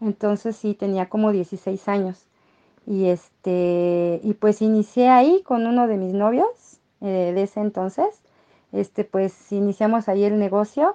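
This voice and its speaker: Speaking at a fairly slow pace, a woman with an unremarkable speaking voice keeps a medium pitch and fairly even intonation, the sound dry and close with no echo. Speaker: market vendor. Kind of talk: interview.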